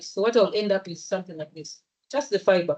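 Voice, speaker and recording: With a Ugandan accent, a woman speaks at a medium pitch. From Uganda, Central Region (Muganda). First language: Luganda. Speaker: engineer and social entrepreneur. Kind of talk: presentation at a public event. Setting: hybrid event with live audience.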